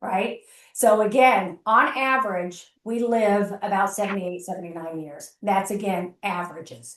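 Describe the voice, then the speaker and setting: This woman has an ordinary speaking voice at a medium pitch, with ordinary pitch variation and big swings in loudness. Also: moderate pace. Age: 60s. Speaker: gerontologist. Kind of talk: presentation to a networking group. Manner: conversational.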